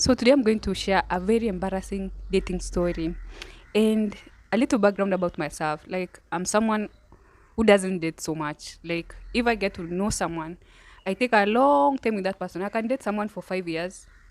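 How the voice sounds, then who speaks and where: A woman's medium-pitched voice at a moderate pace, on a very clean recording with a silent background. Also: ordinary pitch variation. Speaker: YouTuber. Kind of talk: casual vlog storytelling. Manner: soft-spoken. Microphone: handheld mic held close.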